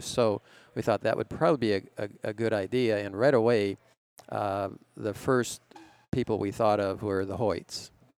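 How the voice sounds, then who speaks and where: A man with a plain, everyday voice, fairly low pitch and an American accent, at a moderate pace with fairly even intonation, in a dry, close sound with no echo. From Minnesota. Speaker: cycling event organizer. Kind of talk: casual interview chat.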